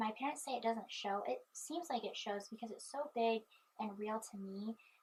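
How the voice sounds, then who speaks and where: A woman's somewhat breathy voice, fairly high in pitch, with ordinary pitch variation at a moderate pace. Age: 20s. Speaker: vlogger; student. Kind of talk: casual chat. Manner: halting.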